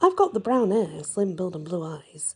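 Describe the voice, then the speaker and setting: A woman's somewhat breathy voice has a dark, mellow tone and moves at a moderate pace. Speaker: audiobook narrator / storyteller. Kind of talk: ASMR story reading, fantasy audiobook narration.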